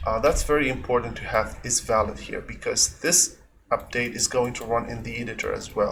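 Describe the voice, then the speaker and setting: The speaker has a non-native accent and a moderate pace. Noticeable background noise runs underneath. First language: not English. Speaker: game developer. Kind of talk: tutorial. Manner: hesitant, many fillers.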